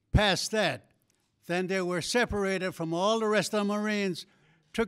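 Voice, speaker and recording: Recorded very cleanly against a silent background, a man with an American accent speaks at a high pitch with ordinary pitch variation. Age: 80s+. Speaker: war veteran. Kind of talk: speech.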